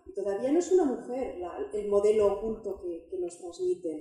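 The voice has a dark, mellow tone and big pitch swings. It moves at a fairly quick pace with audible room echo. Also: woman.

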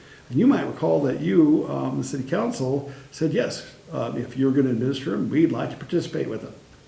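Noticeable background noise and audible room echo surround a man whose pitch is fairly high. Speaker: city staff presenting to council. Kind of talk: council meeting presentation. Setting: council meeting. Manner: fast.

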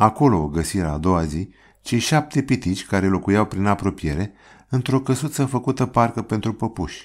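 A man with an unremarkable speaking voice, fairly low in pitch, talks at a moderate pace with lively intonation on a very clean recording with a silent background. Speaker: audiobook narrator. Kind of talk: storytelling, scripted narration of a fairy tale.

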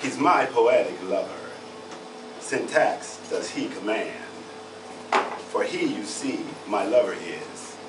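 Very slow in pace, a man speaks with long, frequent pauses. Noticeable background noise is present. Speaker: poet performing at open mic. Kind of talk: performed poem, love poem read aloud on stage. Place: bar. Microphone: camera far.

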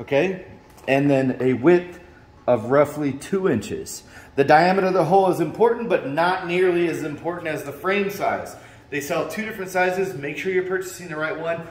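Audible room echo surrounds a man speaking at a moderate pace in a high pitch with ordinary pitch variation. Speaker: fitness equipment seller. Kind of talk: tutorial. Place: gym. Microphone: phone near.

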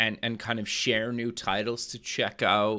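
On a very clean recording with a silent background, a man with a bright, sharp tone speaks at a medium pitch and a fairly slow pace. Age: 30s. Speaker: podcast host. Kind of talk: interview. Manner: casual, filler-heavy.

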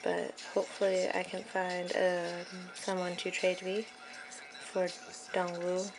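Clear background music behind a woman's voice. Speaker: fan unboxing albums. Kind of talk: casual unboxing talk to camera. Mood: excited fangirling. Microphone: phone near.

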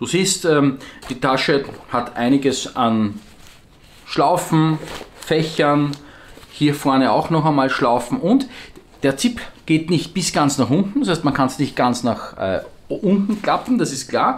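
At a very slow pace with long, frequent pauses, the speaker uses lively intonation in an Austrian accent. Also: man, fairly high pitch for a man. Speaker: survival gear shop owner and video host; product reviewer. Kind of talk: product review video. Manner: casual, with frequent hesitations. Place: office.

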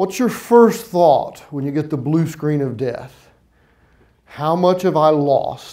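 A man speaks at a fairly slow pace, his intonation lively. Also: quiet background. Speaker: keynote speaker. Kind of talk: conference keynote. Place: stage. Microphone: lapel.

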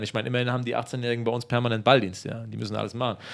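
Very fast speech from a man, set against a quiet background. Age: 30s. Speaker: footballer; interviewee. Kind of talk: interview. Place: home room. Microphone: handheld.

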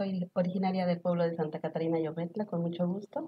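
A woman speaks at a moderate pace in a somewhat breathy voice over light background noise. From Mexico, Tlaxcala. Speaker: author; talk show guest. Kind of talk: talk show interview. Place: studio. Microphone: lapel.

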